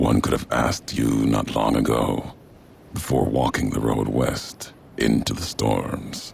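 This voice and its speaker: A man adopts a put-on character voice, talking fairly slowly with clear background noise behind him. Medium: short film. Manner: clipped, fragmented sentences, slow and grave.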